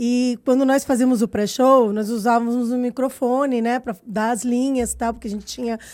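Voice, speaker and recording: A woman talks at a moderate pace with hardly any pauses, her pitch high and her intonation monotone and flat. The recording is very clean, with a silent background. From Brazil. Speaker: circus performer. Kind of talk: interview conversation.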